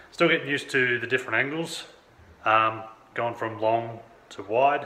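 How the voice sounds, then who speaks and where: A man at a moderate pace with ordinary pitch variation, amid light background noise and audible room echo. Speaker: fitness vlogger. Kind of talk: casual vlog chat. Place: home room. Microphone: phone near.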